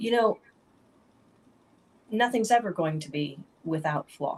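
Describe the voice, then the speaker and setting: Somewhat breathy woman with a fairly high pitch at a moderate pace. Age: 40s. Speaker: author. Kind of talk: casual chat.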